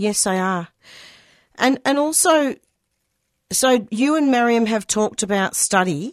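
A woman with an Australian accent, fairly high pitch, lively intonation and a moderate pace, on a very clean recording with a silent background. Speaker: community radio host. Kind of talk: radio interview. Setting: studio.

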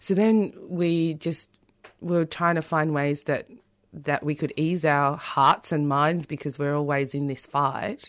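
A woman with a very deep, low voice and an Australian accent, fairly slow and fairly even in intonation, over a quiet background. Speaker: playwright and theatre director. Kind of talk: radio interview.

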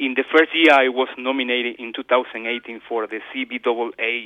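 A man speaks with a Spanish accent. His pitch sits in the medium range. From Ecuador. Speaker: community radio coordinator. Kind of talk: interview. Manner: halting.

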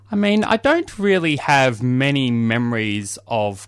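With an Australian accent, a man talks in lively intonation over a quiet background. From Australia, Victoria. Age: 30s. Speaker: socialist activist. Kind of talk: interview. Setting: studio. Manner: halting, many fillers.

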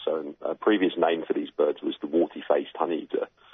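This man has a British accent. He talks fairly quickly. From UK. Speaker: bird researcher. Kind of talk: interview. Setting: phone call.

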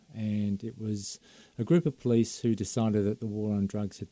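An Australian accent marks this man's fairly low, dark, mellow voice, recorded with a dry, close sound and no echo. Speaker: former police officer, drug policy advocate. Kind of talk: radio interview. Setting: studio.

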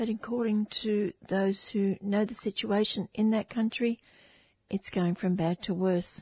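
With an Australian accent, a woman speaks at a fairly slow pace and medium pitch. Her voice is somewhat breathy, with fairly even intonation and very even loudness. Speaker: community radio host. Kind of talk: radio interview and presenting.

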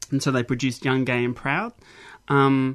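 Over a quiet background, a man of medium pitch talks with an Australian accent. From South Australia, Mount Gambier. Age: 40s. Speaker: academic researcher. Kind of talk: radio interview.

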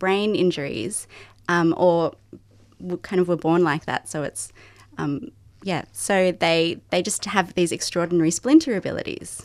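In a very clean recording with a silent background, a woman with a fairly low pitch talks at a moderate pace with ordinary pitch variation. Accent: Australian. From Sydney, Australia. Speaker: novelist. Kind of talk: radio interview. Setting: studio.

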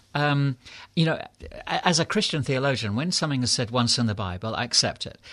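Against a quiet background, a man with a British accent talks very fast at a medium pitch with lively intonation. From England. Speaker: clergyman and author. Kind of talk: interview. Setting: studio.

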